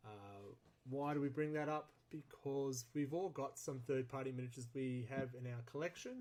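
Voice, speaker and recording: This man's pitch is fairly high. He talks at a moderate pace. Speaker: podcast host. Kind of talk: casual chat. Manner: loud.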